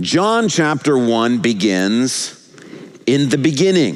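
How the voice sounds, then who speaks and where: A man's fairly high voice, fairly slow, with lively intonation and audible room echo. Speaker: pastor. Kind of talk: sermon. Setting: church.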